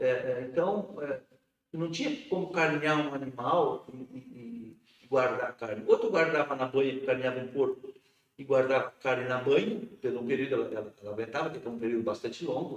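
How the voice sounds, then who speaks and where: His pace is moderate, and the man's pitch moves up and down in an ordinary way. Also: fairly high pitch for a man. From rural Rio Grande do Sul, Brazil. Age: 50s. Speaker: metalworker and union director. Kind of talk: interview about life story. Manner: halting, many repetitions.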